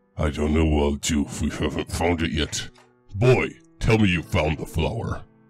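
A man's put-on character voice, very deep and low in pitch with ordinary pitch variation, over faint music in the background. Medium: machinima. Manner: gruff, commanding.

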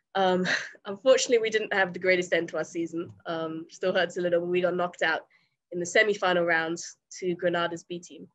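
Against a quiet background, a woman with an English accent speaks at a very fast pace, her fairly low pitch held in fairly even intonation. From England. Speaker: college soccer player. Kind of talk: interview. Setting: remote call. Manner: halting, many fillers. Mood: friendly, smiling, relaxed. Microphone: webcam.

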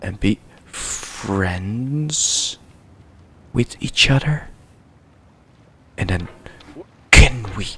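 A quiet man speaks at a very slow pace and a fairly low pitch, with lively intonation, big swings in loudness, and long, frequent pauses. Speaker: let's play gamer. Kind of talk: quiet gameplay commentary. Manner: quiet, hushed. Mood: calm, mildly frustrated. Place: home room.

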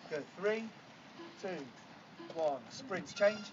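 Over music in the background, a man with a high pitch speaks at a fairly slow pace with ordinary pitch variation. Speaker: fitness coach. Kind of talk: workout instruction. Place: beach. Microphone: camera far.

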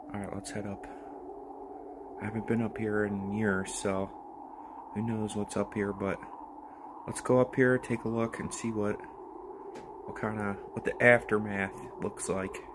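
Long, frequent pauses break up a man's fairly low, monotone, flat delivery. He keeps a moderate pace over noticeable background noise. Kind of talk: casual vlog chat. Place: garage. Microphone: phone near.

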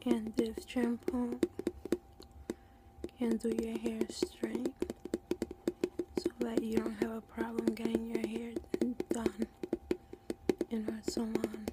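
Soft-spoken and very slow, a woman leaves long, frequent pauses against loud background noise. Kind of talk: role-play salon chat. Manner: soft, hushed ASMR roleplay voice. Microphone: phone near.

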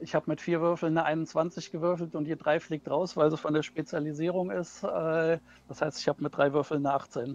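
This man's voice is fairly high for a man, with a slightly mellow tone. He moves along at a fairly quick pace, his pitch moving little.

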